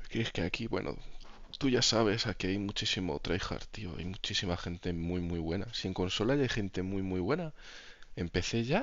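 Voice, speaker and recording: A man talks at a moderate pace with ordinary pitch variation. His pitch is very deep and low. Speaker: gaming streamer. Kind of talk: casual chat. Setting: live stream.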